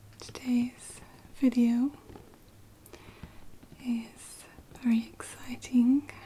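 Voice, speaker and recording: Soft-spoken and high-pitched, a woman with a Northern English accent talks at a very slow pace in a flat monotone, with long, frequent pauses and noticeable background noise. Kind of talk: ASMR unboxing, soft-spoken.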